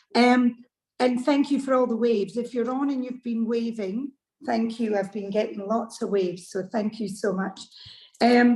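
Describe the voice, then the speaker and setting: Fairly high in pitch, a woman speaks with a Scottish accent. Her pitch varies in an ordinary way. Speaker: club member asking a question. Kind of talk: casual chat.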